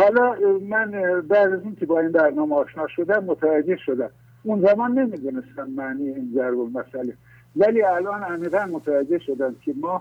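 This man speaks with a high pitch. His intonation is lively. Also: moderate pace. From rural Iran. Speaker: caller. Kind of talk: casual chat. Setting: phone call.

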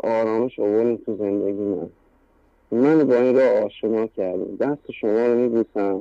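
A man with a medium pitch and a dark, mellow tone speaks at a very slow pace, with a dry, close sound and no echo. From Iran. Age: 30s. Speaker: caller. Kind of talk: testimony. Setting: phone call.

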